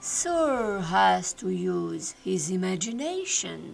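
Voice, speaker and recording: Drawling at a very slow pace, a woman uses a put-on character voice over clear background music. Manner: slow, drawling, sarcastic.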